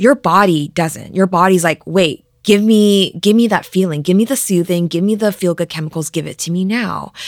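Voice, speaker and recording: A normal speaking voice, with ordinary pitch variation at a moderate pace. There are hardly any pauses. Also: woman, medium pitch for a woman. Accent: Canadian. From Vancouver, Canada. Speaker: relationship expert and author. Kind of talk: interview.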